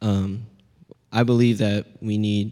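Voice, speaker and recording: In a Pacific Northwest accent, a man speaks with a fairly low pitch and a dark, mellow tone. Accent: Pacific Northwest American. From US Pacific Northwest, Seattle. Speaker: college student. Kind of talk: panel discussion.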